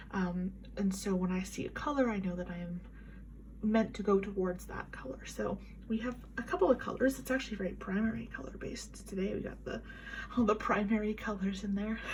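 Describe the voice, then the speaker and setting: A soft-spoken woman at a fairly quick pace, with noticeable background noise. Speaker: tarot reader. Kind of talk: tarot reading. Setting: home at night. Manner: quiet.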